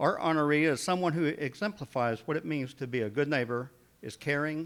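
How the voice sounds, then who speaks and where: Recorded very cleanly against a silent background, a man speaks at a fairly quick pace and fairly high pitch with ordinary pitch variation. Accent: Oklahoma. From Oklahoma. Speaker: city mayor. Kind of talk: public address.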